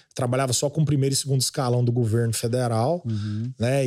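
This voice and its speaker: A man speaks at a fairly quick pace in a medium pitch, his tone dark and mellow. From Goiás (Goiânia). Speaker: agribusiness influencer. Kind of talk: casual chat.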